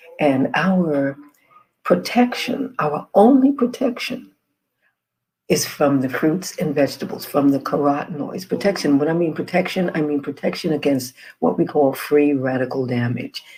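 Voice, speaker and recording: Speaking at a moderate pace, a woman uses a very deep, low, dark and mellow voice that makes very wide pitch swings. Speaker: health and wellness educator. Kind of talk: informational presentation. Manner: soft-spoken, keeping voice low.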